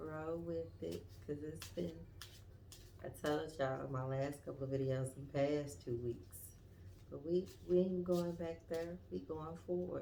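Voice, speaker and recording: Quietly and at a fairly slow pace, a woman speaks in a very deep, low voice with a dark, mellow tone, with audible room echo. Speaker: tarot reader. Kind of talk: tarot reading livestream.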